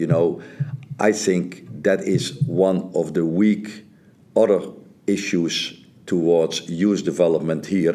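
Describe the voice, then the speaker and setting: With a Dutch accent, the speaker talks at a very slow pace with very even loudness. There are long, frequent pauses. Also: man, very deep, low pitch for a man, ordinary pitch variation. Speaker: soccer coach. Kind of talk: interview. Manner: halting, repeats words.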